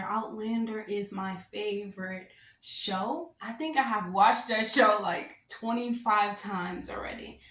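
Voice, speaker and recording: Audible room echo surrounds a woman speaking at a fairly high pitch with fairly even intonation and hardly any pauses. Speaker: astrologer. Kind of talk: horoscope reading monologue. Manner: loud; casual, filler-heavy.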